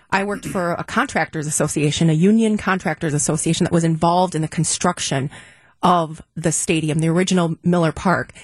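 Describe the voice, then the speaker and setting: A woman's somewhat breathy, fairly low-pitched voice with ordinary pitch variation at a moderate pace. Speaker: business advocate. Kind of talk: panel discussion.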